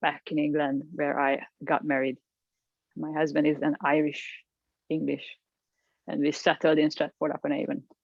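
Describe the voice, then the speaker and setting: A woman with a Hungarian accent speaks at a moderate pace in a very deep, low voice, leaving long, frequent pauses. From Hungary, Budapest. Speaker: executive coach. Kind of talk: interview. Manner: halting.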